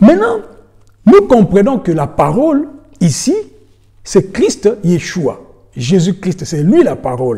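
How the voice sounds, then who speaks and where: A man with a dark, mellow tone and a high pitch speaks at a very slow pace, his pitch swinging very widely between long, frequent pauses. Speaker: preacher. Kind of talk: sermon. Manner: halting.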